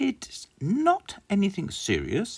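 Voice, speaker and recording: A man's put-on character voice with a high pitch. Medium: read story. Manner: calm, kindly.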